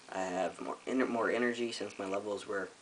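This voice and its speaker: Noticeable background noise runs under a man's fairly low voice, which keeps fairly even intonation. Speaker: vlogger. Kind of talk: personal video update. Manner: casual, frequent um fillers.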